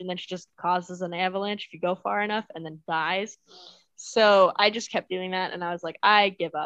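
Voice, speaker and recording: Her voice unremarkable, a woman talks at a fairly quick pace and medium pitch with fairly even intonation, the sound dry and close with no echo. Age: 20s. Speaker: podcast co-host. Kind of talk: casual chat.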